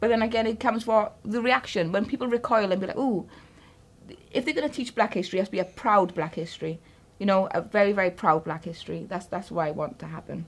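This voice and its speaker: A woman speaks in a South Wales Valleys accent. Her pace is very fast. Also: medium pitch for a woman, ordinary pitch variation. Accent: Welsh valleys. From Wales, Caerphilly valleys. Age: 30s. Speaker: interviewee, mother. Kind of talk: interview. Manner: halting.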